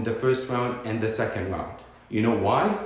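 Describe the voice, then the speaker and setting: A man with a non-native accent talks in an animated tone at a moderate pace, with audible room echo and noticeable background noise. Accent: foreign accent, noticeable. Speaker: vlogger, community figure. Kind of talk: impassioned monologue. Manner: animated, emphatic.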